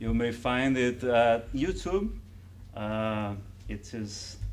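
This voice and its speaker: A man with a Brazilian accent, medium in pitch, at a very slow pace, amid audible room echo. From Brazil, Ceará. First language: Portuguese. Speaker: spiritist lecturer. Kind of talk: lecture. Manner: halting.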